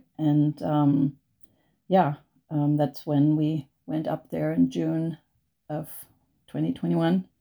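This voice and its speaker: A woman speaks very slowly in a German accent, her pitch very deep and low. Her tone is dark and mellow, on a very clean recording with a silent background. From Germany, North Sea island. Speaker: educator and climate activist. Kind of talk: interview answers. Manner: halting.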